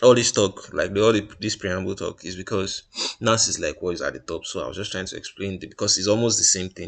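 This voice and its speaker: With a bright, sharp tone and fairly even intonation, a man speaks at a fairly low pitch. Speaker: trader reviewing trades. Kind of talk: screen-share tutorial. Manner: fast; halting, many fillers and restarts.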